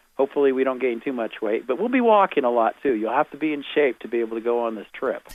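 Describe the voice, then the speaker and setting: At a very fast pace with hardly any pauses, a man speaks at medium pitch with ordinary pitch variation. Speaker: tour organizer. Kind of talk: promotional pitch on phone-in radio.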